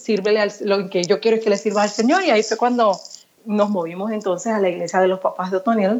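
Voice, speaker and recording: Here is a woman with an unremarkable speaking voice. Her pitch is fairly high, with ordinary pitch variation. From Puerto Rico. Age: 40s. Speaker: pastor. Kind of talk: interview.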